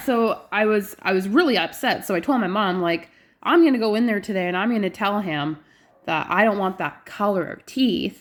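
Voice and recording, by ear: A woman speaks at a moderate pace and medium pitch. Her intonation is lively, with few pauses.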